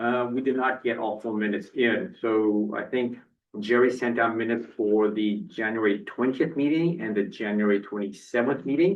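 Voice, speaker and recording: This man's voice sits at a medium pitch with ordinary pitch variation. He talks at a moderate pace. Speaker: board chair. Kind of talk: public meeting. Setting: meeting room with audience. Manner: soft-spoken.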